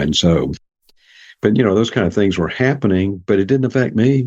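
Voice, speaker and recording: A man is speaking. He has a Southern US accent. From US South, Jackson, Mississippi. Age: 70s. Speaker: psychologist and author. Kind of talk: interview.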